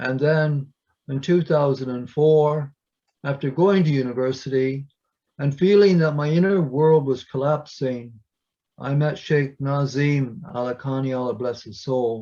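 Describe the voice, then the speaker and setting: A man speaks at a fairly slow pace in a fairly high voice with a dark, mellow tone. His pitch varies in an ordinary way. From Canada. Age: 70s. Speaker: poet. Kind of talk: casual chat. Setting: video call.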